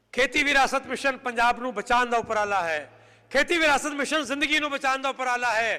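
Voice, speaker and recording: In a raised, projected voice, a man with a Punjabi accent speaks at a moderate pace with an extremely high pitch and fairly even intonation. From Punjab, India. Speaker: head of a farming and environment group. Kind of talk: speech to an audience. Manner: impassioned, repetitive.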